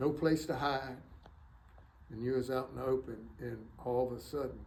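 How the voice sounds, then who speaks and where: A man with an American accent speaks at a fairly quick pace and medium pitch, somewhat breathy. His intonation is fairly even, and room echo is audible. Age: 70s. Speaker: war veteran. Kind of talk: interview. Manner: halting.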